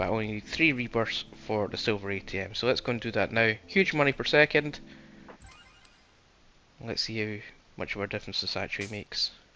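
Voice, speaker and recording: With music in the background, a man talks at a fairly quick pace and a medium pitch, with ordinary pitch variation. He takes long, frequent pauses. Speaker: gaming channel host. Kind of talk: game walkthrough commentary. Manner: casual.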